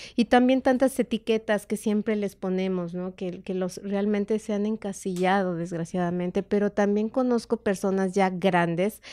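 Over a quiet background, a woman with a Mexican accent talks in a dark, mellow tone with hardly any pauses. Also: medium pitch for a woman, fairly even intonation, moderate pace. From Mexico. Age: 50s. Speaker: meditation therapist, former homemaker; podcast guest. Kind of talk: casual interview chat. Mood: calm, reflective. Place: studio. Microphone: studio mic.

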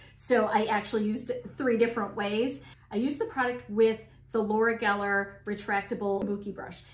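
With ordinary pitch variation, a woman talks at a moderate speed in a space with audible room echo. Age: 50s. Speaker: beauty vlogger. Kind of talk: product review. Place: home room.

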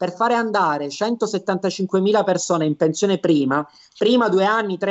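Against a quiet background, a man in a Sicilian accent speaks at high pitch with ordinary pitch variation. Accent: Sicilian Italian. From Palermo, Sicily; Sicily. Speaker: lawyer and business consultant; lawyer. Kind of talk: interview, informative explanation. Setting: web TV broadcast, video call. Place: home room. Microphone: video call.

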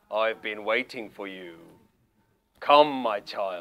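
Putting on a character voice, a man speaks very slowly at a fairly low pitch. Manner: grand, booming, welcoming.

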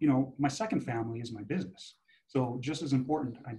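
A dark, mellow tone carries a somewhat breathy quality. Pitch varies in an ordinary way at a moderate pace. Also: man. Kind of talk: interview answer. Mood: reflective, earnest. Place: office. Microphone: video call.

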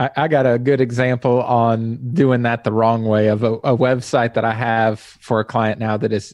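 A man with an American accent, dry sound with no echo, and a quiet background. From Texas. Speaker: web design podcast host. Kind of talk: casual interview; podcast conversation. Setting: video call. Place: home room. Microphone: studio mic.

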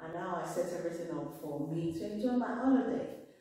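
A woman's fairly low voice amid strong room echo. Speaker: vlogger. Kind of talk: casual vlog chat. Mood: warm, apologetic, upbeat. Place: home room. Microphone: camera far.

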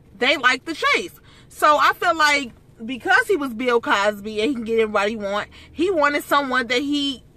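A woman's raised, projected voice in a dry sound with no echo. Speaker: vlogger. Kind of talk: casual vlog chat, opinion commentary. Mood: indignant, opinionated. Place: car. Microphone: phone near.

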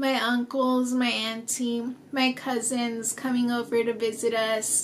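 A woman with an American accent talks in a high pitch and a monotone, flat intonation. Light background noise sits under her voice. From US Southwest, small-town New Mexico. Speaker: children's book author. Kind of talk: personal appeal to supporters. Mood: warm, smiling, heartfelt. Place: home room.

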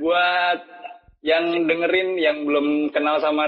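A man with a strong Javanese accent speaks at a fairly slow pace in a fairly high pitch, his intonation monotone and flat, over a quiet background. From Java, Indonesia. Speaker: podcast host. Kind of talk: casual chat. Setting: remote call recording. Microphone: phone line.

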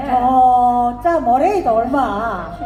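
A woman with a North Gyeongsang accent at a very slow pace, her pitch swinging very widely, with noticeable background noise. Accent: Andong dialect (North Gyeongsang). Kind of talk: dialect contest skit performance.

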